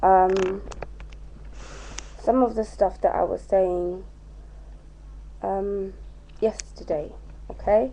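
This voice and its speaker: A woman speaks with a British accent. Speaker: vlogger. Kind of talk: casual vlog. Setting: at home.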